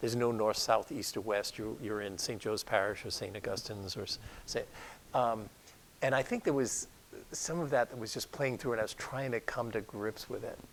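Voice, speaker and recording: Talking at a fairly quick pace, a man speaks with a Rhode Island accent. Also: medium pitch for a man, ordinary pitch variation. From Rhode Island, US (Newport). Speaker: doctor. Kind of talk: interview. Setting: talk before an audience.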